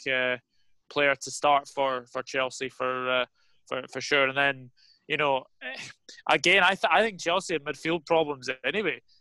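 In a Scottish accent, a man talks at a moderate pace with long, frequent pauses, his tone bright and sharp and the sound dry and close with no echo. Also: fairly high pitch for a man, ordinary pitch variation. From Scotland. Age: 20s. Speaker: football YouTuber. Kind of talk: casual chat.

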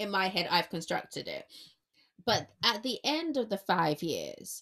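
A woman speaks loudly in an animated, bright, sharp tone, her pitch swinging very widely. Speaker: podcast host and freelance journalist. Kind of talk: casual chat. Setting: remote recording.

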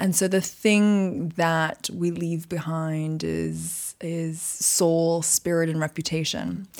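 The speech moves at a very slow pace in a monotone, flat intonation with hardly any pauses. The recording is very clean, its background silent. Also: woman, fairly low pitch for a woman. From Canada, Montreal. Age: 40s. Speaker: magazine editor. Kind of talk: interview. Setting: studio in London.

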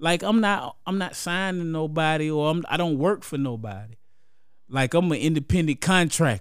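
On a very clean recording with a silent background, a man with an American accent speaks at a moderate pace, his fairly high pitch carrying lively intonation. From Columbus, Georgia. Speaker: rapper. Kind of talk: casual chat.

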